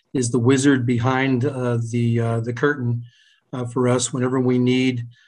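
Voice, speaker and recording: In an American accent, the speech goes along at a moderate pace. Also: man. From New Jersey. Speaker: workforce agency moderator. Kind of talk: panel moderation.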